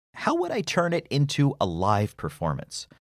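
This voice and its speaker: A man with vocal fry speaks at a moderate pace and a medium pitch, his voice swinging very widely in pitch, in a very clean recording with a silent background and a dry, close sound with no echo. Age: 40s. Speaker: podcast host and voiceover narrator. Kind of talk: personal essay narration. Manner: smooth narrator-like delivery.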